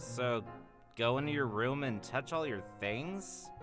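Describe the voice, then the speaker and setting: A man speaks at a fairly slow pace in a put-on character voice of medium pitch, with clear music playing in the background. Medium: dub. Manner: teasing, playful.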